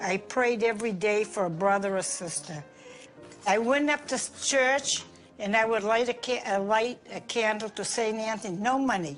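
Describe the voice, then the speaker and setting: Over music in the background, a woman with an American accent speaks at a moderate pace, her fairly high pitch showing ordinary variation. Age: old. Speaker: grandmother. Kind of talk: interview answer.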